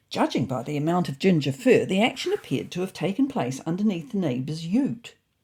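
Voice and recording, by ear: Someone uses a put-on character voice with a slightly mellow tone, a husky, rough edge, big pitch swings and a fairly quick pace. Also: woman, low pitch for a woman.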